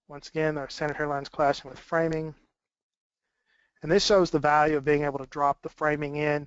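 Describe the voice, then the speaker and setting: This man's voice has a fairly high pitch. His intonation is monotone and flat. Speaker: BIM manager at a drywall contractor. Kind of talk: webinar presentation. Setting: webinar broadcast.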